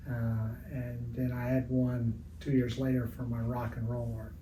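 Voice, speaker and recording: A man with a US Midwestern accent and a medium pitch speaks at a fairly slow pace with ordinary pitch variation, with audible room echo and noticeable background noise. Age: 70s. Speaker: retired art teacher and sports artist. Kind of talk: interview. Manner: halting, many fillers.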